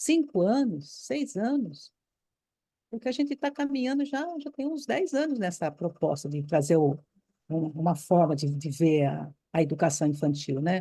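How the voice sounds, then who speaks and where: Speaking at a fairly slow pace, a woman with a fairly low pitch and a dark, mellow tone sounds somewhat breathy as her pitch swings very widely. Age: 70s. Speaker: retired Waldorf teacher, course participant. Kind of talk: impassioned comment in group discussion. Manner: animated, emphatic; halting, repeats words.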